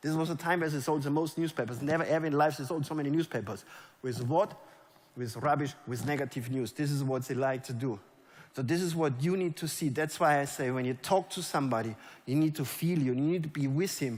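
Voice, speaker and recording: Speaking with a German accent in an animated tone, the voice keeps a fairly quick pace and ordinary pitch variation on a very clean recording with a silent background. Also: man, fairly high pitch for a man. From Germany. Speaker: network marketing leader. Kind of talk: motivational stage talk. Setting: stage with audience.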